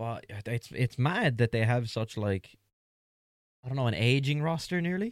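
A man speaks at a medium pitch with lively intonation and a moderate pace. The sound is dry and close, with no echo. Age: 20s. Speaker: wrestling podcast co-host. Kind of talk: casual chat.

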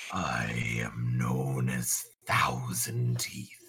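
A man uses a put-on character voice that is guttural and raspy, very deep and low in pitch, with monotone, flat intonation. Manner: menacing, formal.

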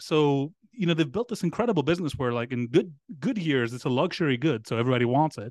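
A very fast pace and lively intonation in a Greek accent. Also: man. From Greece. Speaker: startup founder and independent researcher. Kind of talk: casual podcast interview.

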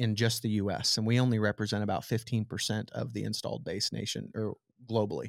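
A man's very fast, monotone, flat delivery in a Midwestern American accent, in a very clean recording with a silent background. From southwest Nebraska. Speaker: tech startup founder. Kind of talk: interview.

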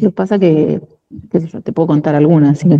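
Her plain, everyday voice sits at a fairly low pitch for a woman, with ordinary pitch variation. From Argentina, La Plata. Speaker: union leader and administrative worker. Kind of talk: interview.

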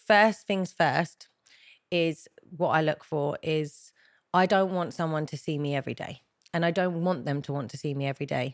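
A woman with a British accent, big swings in loudness and long, frequent pauses on a very clean recording with a silent background. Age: 30s. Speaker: beauty therapist and reality dating show winner. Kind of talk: casual chat.

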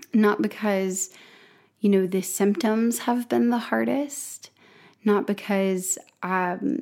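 A woman with a dark, mellow tone speaks at a very slow pace with ordinary pitch variation. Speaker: podcast host, health coach. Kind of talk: solo monologue podcast. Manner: casual, rambling with fillers.

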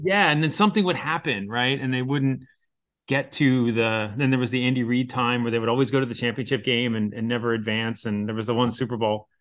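An ordinary speaking voice with an American accent, a fairly quick pace and ordinary pitch variation, over a quiet background. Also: man, medium pitch for a man. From Pennsylvania, Philadelphia area. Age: 40s. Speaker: chemistry professor. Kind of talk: casual interview.

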